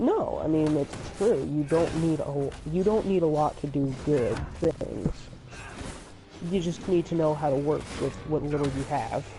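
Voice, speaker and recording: Someone soft-spoken talks at a fairly slow pace against noticeable background noise. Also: man, fairly high pitch for a man, ordinary pitch variation. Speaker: gaming streamer. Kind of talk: casual chat. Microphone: too quiet in recordings.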